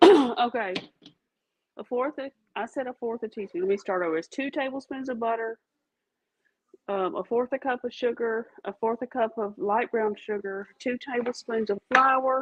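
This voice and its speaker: A woman with a Louisiana accent speaks at a moderate pace. Her voice is high-pitched, with ordinary pitch variation. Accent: Louisiana Southern. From Louisiana, Catahoula Parish. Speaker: home baking video host. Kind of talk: casual cooking demonstration.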